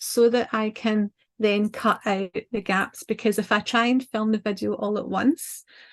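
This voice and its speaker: Against a quiet background, a woman with a fairly high pitch talks in a monotone, flat intonation. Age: middle-aged. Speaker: designer and content creator. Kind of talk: casual talk on a live chat. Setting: live video call. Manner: lots of fillers, um and ah.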